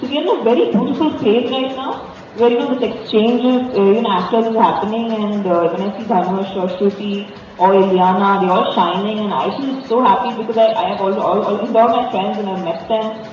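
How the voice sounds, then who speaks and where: Someone talks at a fairly quick pace in a South Indian accent, with noticeable background noise. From India, Mumbai. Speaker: film actor. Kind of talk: press interview.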